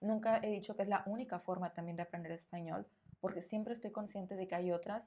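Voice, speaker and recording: At a fairly quick pace, a woman speaks in a dark, mellow tone at medium pitch. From northern Mexico. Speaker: Spanish teacher. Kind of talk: interview answers; podcast monologue.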